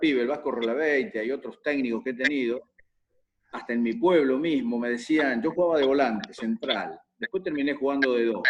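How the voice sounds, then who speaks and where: Speaking with a Rioplatense accent, the voice keeps a moderate pace and ordinary pitch variation. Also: man. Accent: Argentine Spanish (rioplatense, voseo). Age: 70s. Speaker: football coach. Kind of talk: interview Q&A on football tactics.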